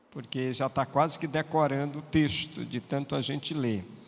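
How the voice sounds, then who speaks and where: A man with a plain, everyday voice, fairly high in pitch, fairly slow and fairly even in intonation, in a very clean recording with a silent background. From Piauí, Brazil. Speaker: pastor. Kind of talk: sermon.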